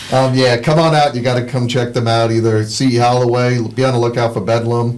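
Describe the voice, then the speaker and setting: A man talks in a New York accent. His pace is fairly quick and his pitch medium. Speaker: podcast host and venue booker. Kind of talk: casual chat.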